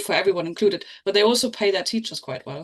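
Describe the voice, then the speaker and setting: A woman speaks very fast with a German accent. Her pitch is medium, with ordinary variation. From East Germany. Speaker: podcast panelist. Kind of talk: casual discussion.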